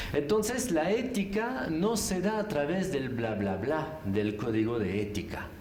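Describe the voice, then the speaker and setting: At a very slow pace, a man with a French accent speaks at a fairly high pitch with very wide pitch swings. Noticeable background noise and audible room echo are present. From France. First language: French (speaking Spanish). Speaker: philosopher, ethics lecturer. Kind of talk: conference talk. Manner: animated; halting.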